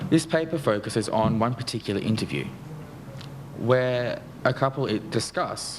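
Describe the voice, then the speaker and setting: Noticeable background noise runs behind a man's voice. He speaks with an Australian accent and lively intonation. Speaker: academic researcher, PhD candidate. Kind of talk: conference paper presentation. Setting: conference panel with audience. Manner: fast.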